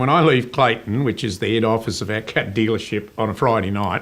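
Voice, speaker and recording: Talking at a fairly quick pace, a man with an Australian accent keeps his intonation fairly even. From Tasmania, Australia. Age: 60s. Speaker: business owner. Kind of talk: interview. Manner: halting.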